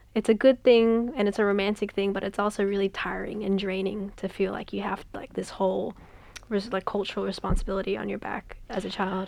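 A woman with an Australian accent talks at a fairly quick pace. Her medium-pitched delivery is monotone and flat. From Western Sydney, Australia. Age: young. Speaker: author. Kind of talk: casual interview. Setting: radio studio. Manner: hesitant, many fillers.

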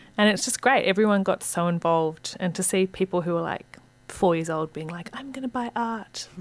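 A woman speaks at a fairly quick pace and medium pitch, with ordinary pitch variation and big swings in loudness. Noticeable background noise runs under her voice. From Hong Kong. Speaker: arts centre director. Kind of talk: casual chat.

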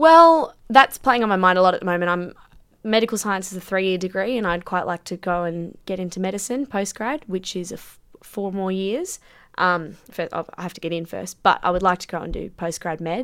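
A woman with an Australian accent at a medium pitch and moderate pace, with ordinary pitch variation, big swings in loudness and a very clean recording with a silent background. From grew up overseas in a hot climate, later Sydney. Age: 20s. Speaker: professional women's Australian football player and student. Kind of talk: radio interview.

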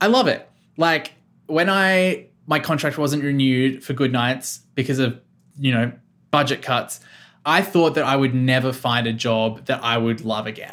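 Here a man speaks in an Australian accent at a moderate pace, with a medium pitch and ordinary pitch variation. The recording is very clean, with a silent background. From Australia, Victoria South Coast. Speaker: radio producer. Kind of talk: casual interview.

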